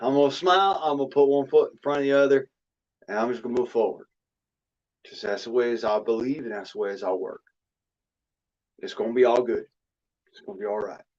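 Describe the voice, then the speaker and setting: A man at medium pitch, with an Arkansas accent, uses ordinary pitch variation. His loudness swings widely, and his pauses are long and frequent. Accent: country drawl, Arkansas-style. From US South, raised on Arkansas ways. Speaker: livestream host. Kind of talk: casual chat.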